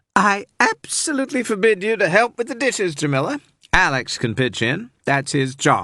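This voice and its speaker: Putting on a cackling character voice, a man uses a high pitch with very wide swings at a moderate pace. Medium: read story. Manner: teasing, cackling.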